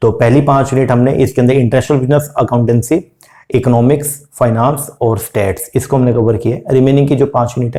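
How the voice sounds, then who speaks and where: Somewhat breathy and dark, mellow in tone, a man speaks at a moderate pace with medium pitch and ordinary pitch variation. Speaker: UGC NET commerce teacher. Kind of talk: exam revision lecture; casual video intro. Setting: hospital room.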